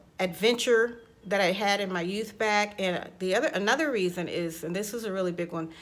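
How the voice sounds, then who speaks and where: The woman has an ordinary speaking voice at a medium pitch, with ordinary pitch variation. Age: 60s. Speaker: life coach and vocal coach. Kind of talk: casual talk to camera.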